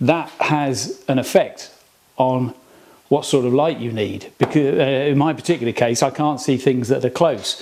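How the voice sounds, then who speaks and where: A man with an English accent, fairly high pitch and fairly even intonation at a moderate pace. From England. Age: 50s. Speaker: hobbyist workshop video maker. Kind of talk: casual tutorial. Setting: workshop. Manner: halting, many fillers.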